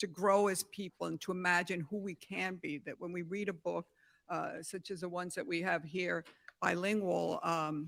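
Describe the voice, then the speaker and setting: In a very clean recording with a silent background, a woman speaks with vocal fry and ordinary pitch variation. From New York City, Spanish-speaking home. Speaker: philanthropist. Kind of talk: prepared remarks at press event.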